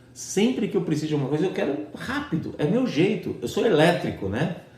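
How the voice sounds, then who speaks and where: A man with fairly high pitch and vocal fry speaks at a fairly quick pace, his pitch swinging very widely. Audible room echo surrounds the voice. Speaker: pastor. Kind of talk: sermon. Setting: online church service.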